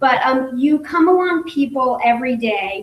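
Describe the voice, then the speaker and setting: With noticeable background noise, a woman speaks fairly slowly at a high pitch. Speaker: direct sales business leader, former nurse. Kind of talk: motivational talk at business meeting. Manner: shaky voice.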